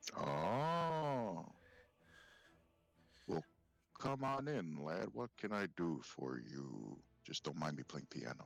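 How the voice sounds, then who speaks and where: Using a put-on character voice, a man speaks very slowly in a very deep, low register with very wide pitch swings and long, frequent pauses. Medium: actual play. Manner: hearty, welcoming.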